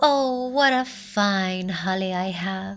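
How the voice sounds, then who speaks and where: A female-sounding voice uses a put-on character voice at a medium pitch. The pace is very slow. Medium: read story.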